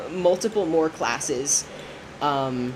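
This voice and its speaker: Noticeable background noise accompanies a woman whose intonation is lively. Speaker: streamer, college theater student. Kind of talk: casual livestream chat while gaming. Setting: livestream at desk. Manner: hesitant, many fillers and restarts.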